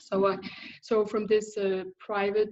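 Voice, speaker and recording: Speaking with a Danish accent, a woman keeps her intonation fairly even. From Denmark. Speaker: thyroid specialist, biochemist. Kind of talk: interview. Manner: halting.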